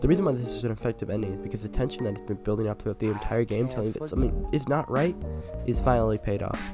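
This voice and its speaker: A man talks very fast while music plays behind him. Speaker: game reviewer. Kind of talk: scripted video game review voiceover.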